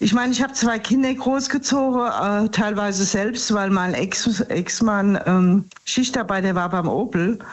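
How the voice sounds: Over audible room echo, a woman speaks at a fairly slow pace with few pauses, medium pitch and ordinary pitch variation.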